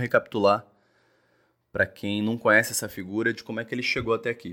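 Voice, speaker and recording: A man speaks with a Rio de Janeiro accent. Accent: Carioca Brazilian Portuguese. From Rio de Janeiro, Brazil. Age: 20s. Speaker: podcast host. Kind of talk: solo commentary podcast.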